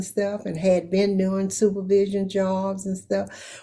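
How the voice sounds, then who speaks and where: At a fairly slow pace, a woman with a Southern US accent speaks at a medium pitch in a dark, mellow tone. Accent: Southern American. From Louisiana. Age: 80s+. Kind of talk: interview answer.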